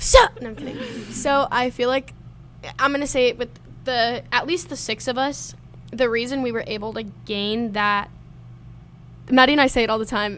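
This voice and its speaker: A loud woman with a high pitch talks at a moderate pace, using ordinary pitch variation and taking long, frequent pauses. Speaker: college student, podcast guest. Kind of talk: casual chat.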